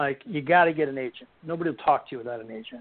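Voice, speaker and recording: Speaking with an American accent, a man races along at a very fast pace. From Buffalo, New York. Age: 60s. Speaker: author and bereaved father. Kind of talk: interview.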